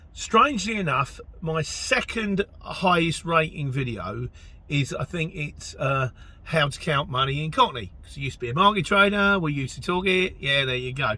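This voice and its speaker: A man speaks at a moderate pace in a high voice, with lively intonation, big swings in loudness and noticeable background noise. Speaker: van driver and YouTuber. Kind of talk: reading aloud an email with commentary. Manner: animated.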